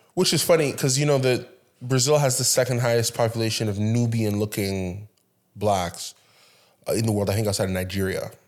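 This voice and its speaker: Speaking in a normal speaking voice at a fairly quick pace, a man keeps a medium pitch with ordinary pitch variation, in a very clean recording with a silent background. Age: 30s. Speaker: podcast host. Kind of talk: casual interview.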